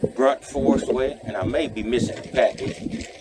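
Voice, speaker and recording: A man speaks over noticeable background noise. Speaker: van life vlogger. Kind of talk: casual vlog. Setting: grocery store.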